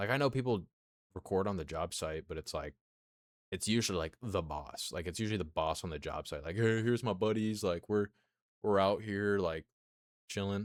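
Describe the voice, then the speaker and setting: On a very clean recording with a silent background, a man with a fairly low pitch and ordinary pitch variation talks at a fairly quick pace, broken by long, frequent pauses. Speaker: streamer. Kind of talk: casual chat.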